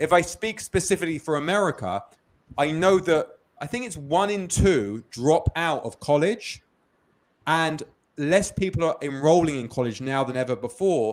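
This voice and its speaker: A man with a London accent speaks at a moderate pace in a fairly high pitch, his intonation lively and his loudness swinging widely, on a very clean recording with a silent background. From London, England. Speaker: business founder. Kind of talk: interview. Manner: repetitive false starts.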